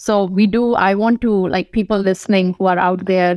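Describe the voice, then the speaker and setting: With an Indian accent, a woman talks at a moderate pace in a medium pitch, her intonation fairly even and the sound dry and close with no echo. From India, northern (Kanpur, Delhi). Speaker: physician and tech company CEO. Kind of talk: interview.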